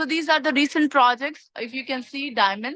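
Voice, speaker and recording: Her tone bright and sharp, a woman speaks at a fairly quick pace. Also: dry, close sound with no echo. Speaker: property sales agent. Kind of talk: sales presentation. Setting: video call. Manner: fast.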